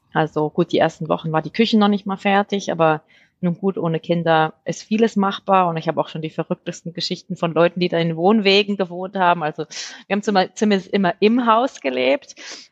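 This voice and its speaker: A woman speaks in a fairly low voice with ordinary pitch variation, the sound dry and close with no echo against a quiet background. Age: 40s. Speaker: homeowner. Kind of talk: interview. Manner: halting, many fillers.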